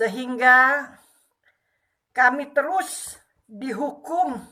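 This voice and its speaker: A woman with a high, bright and sharp voice projects it loudly while speaking at a very slow pace. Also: ordinary pitch variation. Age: 60s. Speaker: retired civil servant and female preacher. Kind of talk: testimony.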